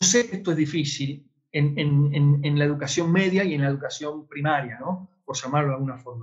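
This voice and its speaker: A somewhat breathy man at a fairly quick pace, hardly any pauses, ordinary pitch variation, against a quiet background. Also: fairly high pitch for a man. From Argentina. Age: 50s. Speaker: online education lecturer. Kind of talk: webinar lecture with Q&A. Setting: online webinar broadcast. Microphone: webcam.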